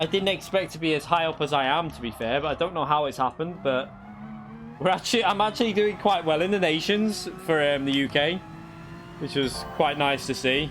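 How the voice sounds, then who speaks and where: Noticeable background noise sits behind a man speaking at a fairly quick pace, his fairly high pitch showing ordinary variation. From northern England, Runcorn near Liverpool (moved from Kent at seven). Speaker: sim racing streamer. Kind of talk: live gaming stream chat. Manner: casual, halting with self-corrections.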